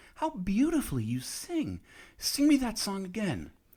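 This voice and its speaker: Using a put-on character voice, a man speaks high in pitch at a moderate pace. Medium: read story. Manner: eager, admiring.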